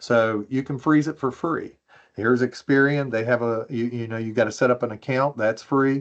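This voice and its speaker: Over a quiet background, a man with a plain, everyday voice speaks in an American accent at medium pitch and a moderate pace, his intonation fairly even. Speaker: privacy expert panelist. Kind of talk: webinar presentation.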